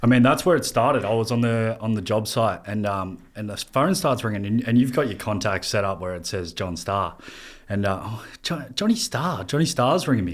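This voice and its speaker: This man talks at a moderate pace in an Australian accent. His pitch sits in the medium range, and his intonation is lively. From Australia, Melbourne (Berwick). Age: 20s. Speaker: fitness coach, podcast host. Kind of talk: casual chat.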